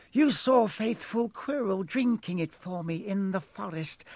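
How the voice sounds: Putting on a character voice, a man speaks fairly slowly in a high pitch with lively intonation, a slightly mellow tone and some hissing.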